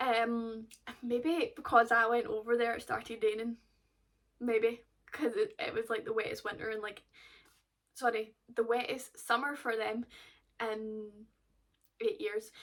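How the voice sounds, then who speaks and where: A high-pitched woman talks at a moderate pace with ordinary pitch variation, pausing often and at length. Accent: Glaswegian. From Scotland, Glasgow. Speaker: golf vlogger. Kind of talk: casual vlog chat.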